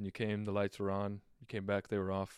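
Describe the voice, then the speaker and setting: A man with a plain, everyday voice talks at a fairly quick pace and a fairly low pitch. The recording is very clean and dry, close with no echo, against a silent background. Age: 20s. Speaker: podcast co-host. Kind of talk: casual chat. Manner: laughs often.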